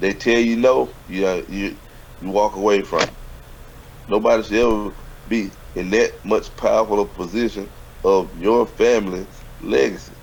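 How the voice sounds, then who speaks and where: With a Southern US accent, a man talks at a moderate pace, leaving long, frequent pauses. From US South. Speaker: business mentor. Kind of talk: casual chat. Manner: animated.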